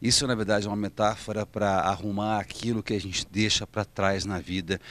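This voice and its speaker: The sound is dry with no echo as a man speaks at a fairly quick pace. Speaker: stage actor promoting his play. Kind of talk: promotional interview to camera. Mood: warm, enthusiastic. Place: stage. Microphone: handheld.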